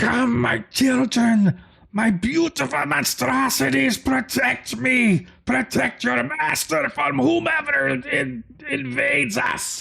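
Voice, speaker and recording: Shouting in a put-on character voice, a man sounds raspy and nasal, with a fairly high pitch and a fairly slow pace. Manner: screaming.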